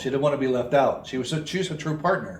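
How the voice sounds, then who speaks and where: Amid audible room echo, a man with a fairly high pitch speaks with ordinary pitch variation. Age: 70s. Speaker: recovery speaker and retreat leader. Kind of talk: interview. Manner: halting.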